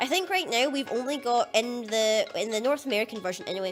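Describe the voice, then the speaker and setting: A woman's fairly high-pitched voice over music in the background. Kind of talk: casual gaming commentary.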